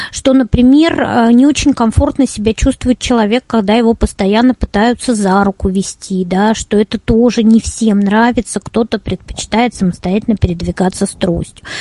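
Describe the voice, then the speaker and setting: Fairly high-pitched woman's voice, dark and mellow in tone and somewhat breathy, with very even loudness and a dry, close sound with no echo. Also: ordinary pitch variation, moderate pace. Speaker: head of a tourism accessibility organization, blind tour guide. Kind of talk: webinar presentation. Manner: clear, well-structured speech.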